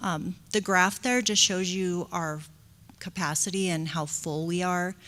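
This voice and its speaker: A soft-spoken woman with a fairly low pitch talks at a fairly slow pace. The recording is very clean, with a silent background. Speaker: school district director of early childhood education. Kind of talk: board meeting report. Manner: hesitant, many fillers.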